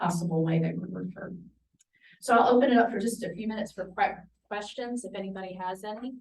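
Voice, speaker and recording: Quiet and somewhat breathy, a woman talks at a fairly quick pace. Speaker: parenting program coordinator. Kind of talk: presentation to professionals. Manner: quiet-spoken.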